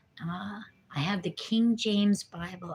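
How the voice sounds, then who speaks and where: Somewhat breathy, a woman with an American accent talks at a fairly slow pace with ordinary pitch variation. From New Jersey. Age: 50s. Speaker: recovering addict vlogger. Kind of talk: casual livestream chat. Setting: livestream.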